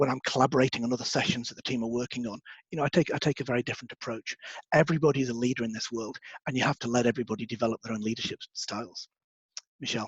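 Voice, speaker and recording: This man talks at a very fast pace with fairly even intonation, a somewhat breathy sound and a medium pitch. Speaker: webinar presenter. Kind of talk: webinar presentation.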